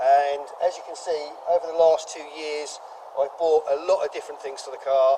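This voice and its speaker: A man talks at a fairly quick pace, his pitch fairly high. Noticeable background noise sits behind him. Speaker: car enthusiast and YouTuber. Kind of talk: documentary interview. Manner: loud.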